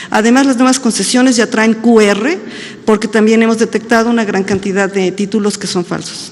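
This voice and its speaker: A woman with a fairly high voice speaks at a fairly quick pace and fairly even intonation, with noticeable background noise. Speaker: government agency director. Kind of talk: press conference Q&A. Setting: press conference. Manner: fast.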